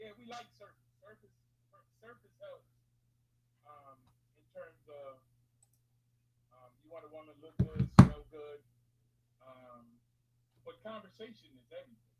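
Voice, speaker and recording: Over noticeable background noise, a man talks at a moderate pace with long, frequent pauses and big swings in loudness. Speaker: guest. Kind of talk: casual chat. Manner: soft-spoken. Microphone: too quiet.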